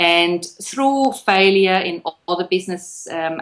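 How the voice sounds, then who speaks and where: In a Swiss accent, a woman speaks at a fairly low pitch. Her pace is fairly slow. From Switzerland. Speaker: copywriter, business owner. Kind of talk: interview.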